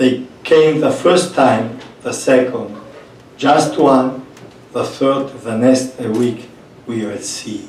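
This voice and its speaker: A man's medium-pitched voice with a non-native accent, very slow pace, long, frequent pauses and fairly even intonation, amid noticeable background noise and audible room echo. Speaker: priest running a migrant shelter. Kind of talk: panel talk.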